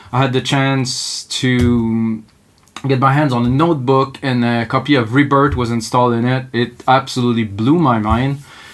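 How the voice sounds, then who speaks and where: Monotone and flat in intonation, a man speaks at a medium pitch and a moderate pace. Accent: slight French Canadian. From Quebec. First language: French. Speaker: music producer, tutorial host; tutorial host. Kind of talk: live tutorial. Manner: casual, improvised. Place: home room. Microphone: camera far.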